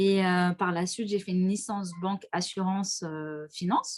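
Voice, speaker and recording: Fairly even in intonation and fairly slow in pace, a woman speaks at a medium pitch in a plain, everyday voice. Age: 30s. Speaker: insurance and real estate entrepreneur. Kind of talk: casual interview. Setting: online live stream.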